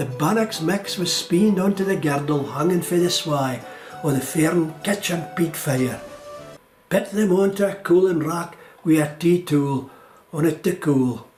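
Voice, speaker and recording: Fairly high male voice with ordinary pitch variation at a fairly slow pace, music playing in the background. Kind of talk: documentary narration.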